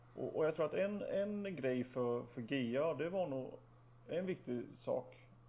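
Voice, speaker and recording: Noticeable background noise runs under a man speaking at a fairly slow pace with ordinary pitch variation. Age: 30s. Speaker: podcast co-host. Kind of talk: casual chat.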